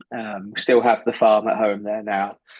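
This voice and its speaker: With an English accent, a man talks at a fairly low pitch. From southwest England. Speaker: animal science professor. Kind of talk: podcast interview.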